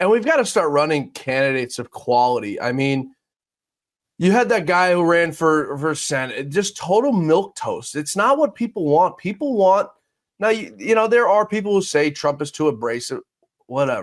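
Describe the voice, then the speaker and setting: Recorded very cleanly against a silent background, a man in a New York accent speaks at a high pitch with very wide pitch swings. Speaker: podcast host. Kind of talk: interview. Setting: studio. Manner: blunt, fast-paced.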